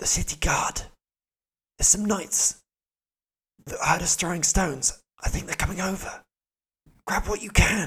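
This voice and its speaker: A put-on character voice whispers and hisses with a raspy edge. It moves at a moderate pace with long, frequent pauses. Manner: hissing urgent whisper.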